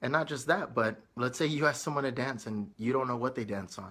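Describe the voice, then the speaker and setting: With an American accent, a man speaks in a plain, everyday voice at medium pitch with ordinary pitch variation. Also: very clean recording, silent background. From United States, bilingual English-Spanish household. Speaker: salsa dance instructor. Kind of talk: vlog tutorial. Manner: casual, conversational with fillers.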